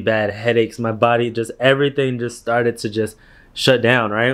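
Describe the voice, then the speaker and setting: The delivery moves at a moderate pace in a monotone, flat intonation. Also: man, quiet background. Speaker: vlogger. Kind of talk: casual vlog chat. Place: home room. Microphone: phone near.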